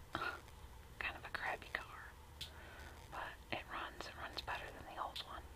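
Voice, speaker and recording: A woman whispers with an American accent at a fairly slow pace. Background noise is noticeable. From United States. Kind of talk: casual talk to camera. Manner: whispered, soft.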